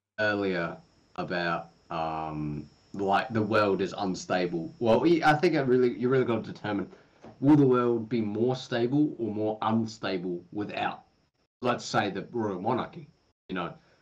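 With an ordinary speaking voice, a man speaks at a moderate pace, his pitch fairly low and his intonation lively. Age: young. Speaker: podcast co-host. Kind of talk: casual chat.

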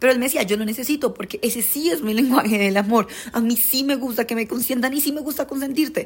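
A very fast woman, high-pitched with ordinary pitch variation. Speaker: podcast host. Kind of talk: casual monologue. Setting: recording away from studio. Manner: blunt.

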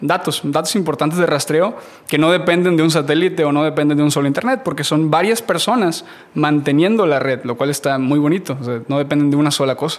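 At a very fast pace, a man with a fairly high pitch speaks with ordinary pitch variation and very even loudness. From Mexico, Matamoros, Tamaulipas. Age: 30s. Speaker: graphic designer. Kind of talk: casual interview.

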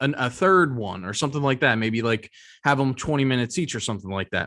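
A man with an American accent speaks at a fairly quick pace, his pitch medium with ordinary variation. The recording is very clean, with a silent background. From Philadelphia, US. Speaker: podcast co-host. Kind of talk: casual chat. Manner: hesitant, many fillers.

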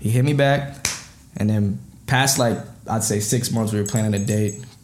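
There is audible room echo as a man speaks at a medium pitch. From Minnesota. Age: 20s. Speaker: rapper. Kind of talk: casual chat.

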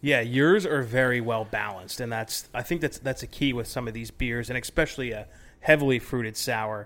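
A man speaks at a fairly quick pace with ordinary pitch variation and medium pitch, in a plain, everyday voice. The recording is very clean with a silent background. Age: 30s. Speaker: brewing podcast host. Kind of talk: casual chat.

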